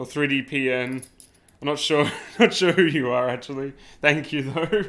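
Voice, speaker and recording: A man with an Australian accent, fairly high in pitch, at a moderate pace with ordinary pitch variation. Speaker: 3D printing YouTuber. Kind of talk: live stream unboxing and setup. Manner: casual, chatty.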